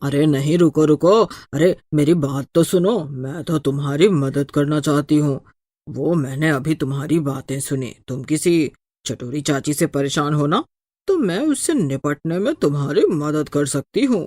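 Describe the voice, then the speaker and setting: A cartoonish character voice at a low-to-middle pitch moves at a moderate pace in a very clean recording with a silent background. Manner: brash, cheeky.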